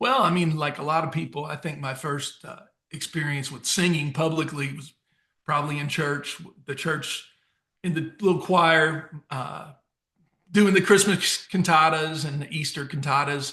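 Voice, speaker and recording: With an American accent, a man speaks at a moderate pace and a fairly high pitch in a bright, sharp tone, his intonation fairly even but his loudness swinging widely. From US Midwest, St. Louis area and Southern Illinois. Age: 50s. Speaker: country songwriter and singer. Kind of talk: interview. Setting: remote call.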